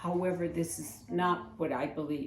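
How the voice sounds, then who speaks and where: Audible room echo and noticeable background noise surround a woman who speaks at a moderate pace. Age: 70s. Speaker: community advocate. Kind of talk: public testimony speech.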